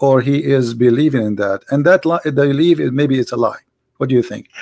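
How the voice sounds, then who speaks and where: A man with an Arabic accent speaks at a fairly quick pace. His pitch is medium, with ordinary pitch variation. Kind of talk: debate. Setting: Skype call, live stream.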